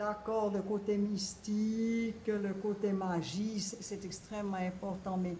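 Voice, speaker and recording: A woman's very slow, flat monotone at a medium pitch, over noticeable background noise. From Switzerland, canton of Bern. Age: 70s. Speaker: collector of voodoo objects. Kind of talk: documentary interview answer.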